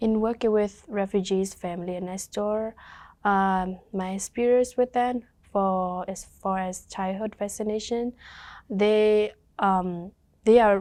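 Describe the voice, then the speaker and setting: Dark, mellow tone from a woman with a Burmese accent, medium pitch, monotone and flat, fairly slow, over a quiet background. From Thailand refugee camp, Karen ethnic. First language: Karen. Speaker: community worker with refugee families. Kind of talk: interview testimony. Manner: halting, with many fillers.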